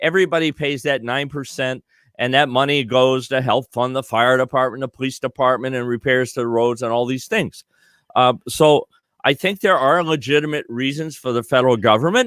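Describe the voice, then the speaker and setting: This man speaks fairly quickly at a medium pitch with ordinary pitch variation. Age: 60s. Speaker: presidential candidate. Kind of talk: interview. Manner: halting, many fillers.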